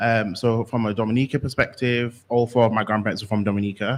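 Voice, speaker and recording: This man speaks with a fairly low pitch and a slight Yorkshire accent. His pace is fairly quick and his intonation fairly even. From West Yorkshire, Bradford. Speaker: workshop presenter. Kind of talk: workshop presentation.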